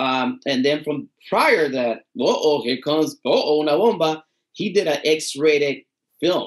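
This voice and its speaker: Against a quiet background, a man with a fairly high pitch talks at a moderate pace. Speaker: podcast co-host. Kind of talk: casual chat. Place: home room. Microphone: webcam.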